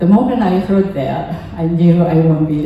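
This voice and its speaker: A woman with a Japanese accent speaks at a fairly low pitch with fairly even intonation. Noticeable background noise and audible room echo fill the recording. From Japan (Kamakura, near Tokyo). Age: 80s. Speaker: temple member giving a talk. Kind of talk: personal talk at a service. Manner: halting, many fillers.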